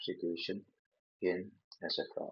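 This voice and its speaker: A man talks in an Indonesian accent. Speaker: linguistics educator. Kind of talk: lecture. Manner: halting, many fillers.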